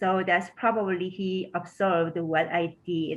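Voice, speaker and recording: At a fairly slow pace, the speaker talks with a Korean accent and fairly even intonation. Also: woman. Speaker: education researcher. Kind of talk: panel Q&A. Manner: hesitant, many fillers.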